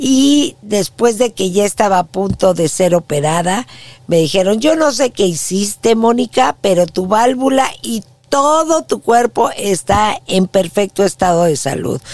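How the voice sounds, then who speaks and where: A woman's medium-pitched voice at a fairly slow pace, with very wide pitch swings. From Mexico City. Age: 60s. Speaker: podcast host, former TV news anchor. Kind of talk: personal testimony monologue.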